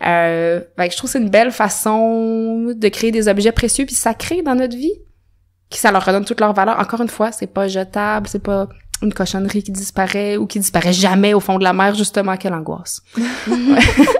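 The pace is fairly quick. The pitch varies in an ordinary way. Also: woman, medium pitch for a woman. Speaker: natural dyer. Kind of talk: casual interview.

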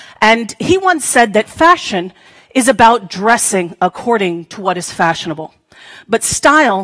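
A woman speaks with a bright, sharp tone at a moderate pace. Behind her the background is quiet. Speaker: conference speaker. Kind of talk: keynote talk. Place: hall. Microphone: headset.

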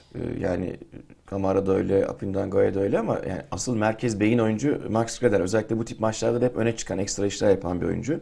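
A man speaks with a dark, mellow tone at a fairly low pitch. His pace is fairly quick, with ordinary pitch variation. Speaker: football pundit. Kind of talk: casual chat.

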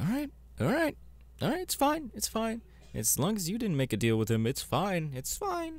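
Using a put-on character voice, a man speaks at a fairly slow pace with long, frequent pauses, his high pitch making very wide swings.

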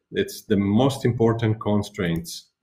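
This is a man speaking with an Italian accent. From Italy. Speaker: teacher. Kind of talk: webinar presentation. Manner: halting, many fillers.

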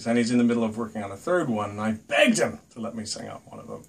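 A man talking at a very fast pace, fairly even intonation, big swings in loudness. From Ireland. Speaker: actor and singer. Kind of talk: casual promo message to camera. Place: home room. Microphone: phone near.

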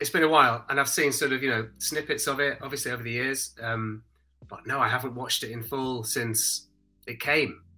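A man's fairly quick speech, fairly even in intonation, plays over music in the background. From British. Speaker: voice actor, stage and screen actor. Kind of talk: interview answer, casual talk about acting. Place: home room. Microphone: studio mic.

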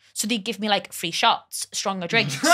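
A woman speaks with a Liverpool accent at a fairly quick pace. Her medium pitch varies in an ordinary way, her tone is bright and sharp, and the background is quiet. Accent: Scouse. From Liverpool, England. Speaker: comedy podcast guest; podcast guest. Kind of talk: casual chat. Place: studio. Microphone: studio mic.

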